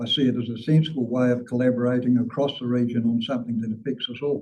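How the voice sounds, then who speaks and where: This man has a dark, mellow tone. He talks at a fairly quick pace. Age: 60s. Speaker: public submitter at council hearing. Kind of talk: prepared submission statement.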